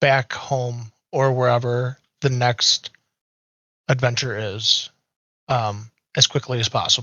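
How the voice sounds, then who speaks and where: A man speaks very slowly at a medium pitch in a put-on character voice. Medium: actual play. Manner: terse, blunt.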